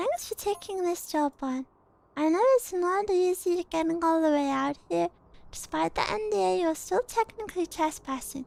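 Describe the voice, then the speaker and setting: A woman uses a put-on character voice at an extremely high pitch. She delivers it at a moderate pace. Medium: virtual streamer. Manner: casual, slangy, sardonic.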